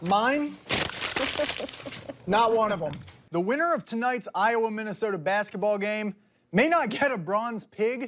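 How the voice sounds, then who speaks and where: The speech moves at a fairly slow pace, broken by long, frequent pauses. Pitch varies in an ordinary way, and background noise is noticeable. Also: man. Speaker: TV sports reporter and sports director. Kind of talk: TV sports news reporting, reel.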